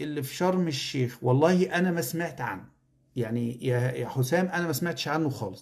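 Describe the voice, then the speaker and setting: The delivery is animated, with lively intonation throughout. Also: man. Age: 40s. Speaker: lecturer and online educator. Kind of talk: live stream talk to viewers. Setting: live stream.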